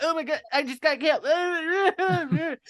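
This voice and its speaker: In a put-on character voice, someone shouts at a high pitch and a fairly slow pace. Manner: frantic, screaming.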